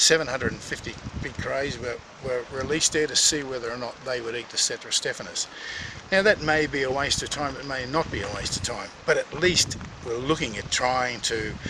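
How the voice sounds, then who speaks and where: Against noticeable background noise, a man with an Australian accent speaks at a fairly quick pace and medium pitch with ordinary pitch variation. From Tasmania, Australia (Burnie). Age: 60s. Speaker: recreational fisherman. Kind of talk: interview storytelling. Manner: halting, with many fillers.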